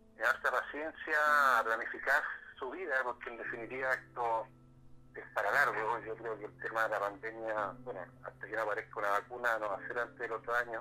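A man's medium-pitched voice at a fairly quick pace, fairly even in intonation, over noticeable background noise. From Chile, Concepción area. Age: 40s. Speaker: social worker and local politician. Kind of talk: interview. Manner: halting, with frequent repetitions.

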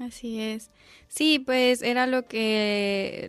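Music plays in the background as a woman talks. Her pitch is fairly high and her intonation fairly even. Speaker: student reporter. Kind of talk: casual report. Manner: halting.

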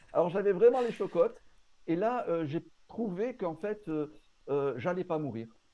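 With a southern French accent, a man speaks at a high pitch with lively intonation, leaving long, frequent pauses. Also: fairly slow pace. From southern France, Marseille. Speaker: pastor and Bible commentary author. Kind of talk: casual interview.

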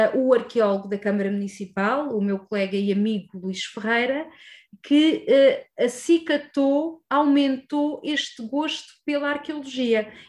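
In a European Portuguese accent, a woman speaks at a fairly slow pace. Her pitch is high. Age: 30s. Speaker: archaeologist. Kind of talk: interview. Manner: hesitant, many fillers.

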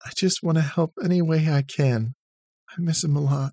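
A man puts on a character voice, pitched fairly high, shaky, with ordinary pitch variation and very even loudness. He speaks at a moderate pace in a dry, close sound with no echo.

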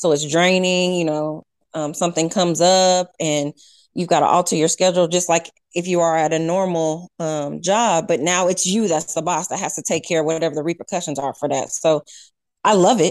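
A woman's plain, everyday voice, fairly low in pitch, with an American accent and fairly even intonation over a quiet background. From Nebraska, US Midwest. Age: 30s. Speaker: personal chef and small business owner. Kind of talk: interview conversation.

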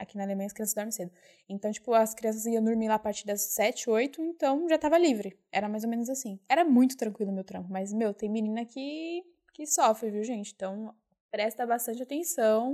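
A woman's fairly high voice with a dark, mellow tone at a fairly quick pace. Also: ordinary pitch variation. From São Paulo, Brazil (East Zone). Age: 20s. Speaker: au pair and volunteer worker. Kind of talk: casual interview chat. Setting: studio, face to face.

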